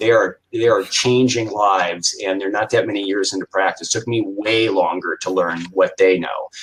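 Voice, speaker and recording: A man with an American accent, at a moderate pace, with hardly any pauses. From Iowa, US Midwest. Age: 60s. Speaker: retired chiropractor and business coach. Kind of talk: interview.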